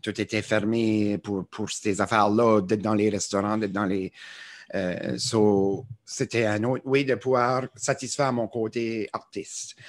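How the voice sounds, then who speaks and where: This man talks very slowly in an Acadian accent, his voice fairly low with fairly even intonation. The recording is very clean, with a silent background. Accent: Acadian French (chiac). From Acadia, New Brunswick. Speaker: TikToker and musician. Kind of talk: podcast interview. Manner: hesitant, many fillers.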